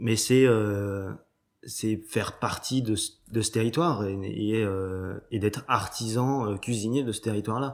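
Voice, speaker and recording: A very slow, fairly low-pitched man's voice in a very clean recording with a silent background. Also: fairly even intonation. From Brittany, Cancale. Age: 30s. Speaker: chef. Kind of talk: interview. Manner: halting.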